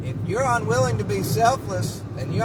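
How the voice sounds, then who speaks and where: Loud and full of very wide pitch swings, a man's voice comes through noticeable background noise and audible room echo. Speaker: vlogger. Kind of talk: casual monologue. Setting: in a car. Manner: animated.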